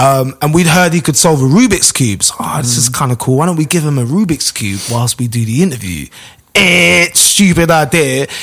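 Against noticeable background noise, a man with a London accent and a fairly high pitch speaks at a moderate pace with lively intonation. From London, Finsbury Park. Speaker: radio DJ and presenter. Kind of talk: casual chat.

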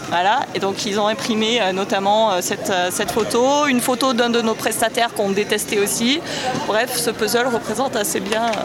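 A woman talks at a fairly high pitch and moderate pace with fairly even intonation and very even loudness, over noticeable background noise and audible room echo. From southern France, Avignon. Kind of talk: casual chat. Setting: outdoors.

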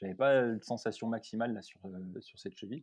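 A man's voice carries a dark, mellow tone with a quiet background behind it. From France, Loire (Saint-Étienne area). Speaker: podiatrist and ultra-trail runner. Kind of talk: casual interview. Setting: remote call. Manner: hesitant, many fillers.

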